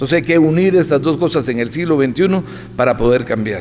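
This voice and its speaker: A man speaks, and audible room echo follows his voice. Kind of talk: lecture. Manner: fast.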